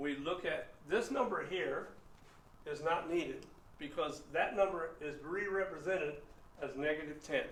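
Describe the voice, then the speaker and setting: Pausing long and often, a man with a high pitch speaks amid audible room echo and noticeable background noise. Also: ordinary pitch variation, moderate pace. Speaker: math teacher. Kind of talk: lecture.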